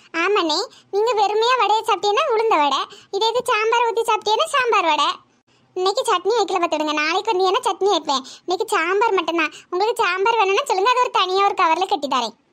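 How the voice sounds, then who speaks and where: Cartoonish character voice from a woman, extremely high-pitched, fairly quick, with lively intonation and very even loudness. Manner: warm, chatty, homely.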